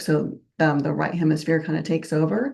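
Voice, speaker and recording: A woman speaks at a moderate pace in a fairly low voice. Her tone is dark and mellow, with vocal fry. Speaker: professor. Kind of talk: lecture. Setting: online conference talk.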